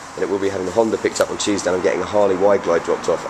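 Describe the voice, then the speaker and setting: Noticeable background noise is present. A man with an English accent speaks at a very fast pace. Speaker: motorcycle reviewer. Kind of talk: video review.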